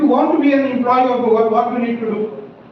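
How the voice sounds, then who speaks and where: An extremely high-pitched man speaks fairly quickly with ordinary pitch variation. Audible room echo and noticeable background noise fill the recording. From India, Bihar. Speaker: scientist, alumnus speaker. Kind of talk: motivational talk.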